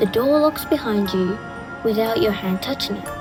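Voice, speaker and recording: Music plays in the background as a woman speaks. Her pitch is fairly high, with ordinary pitch variation. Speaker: horror storyteller. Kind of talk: horror storytelling narration. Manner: atmospheric, slow, dramatic with dry humor.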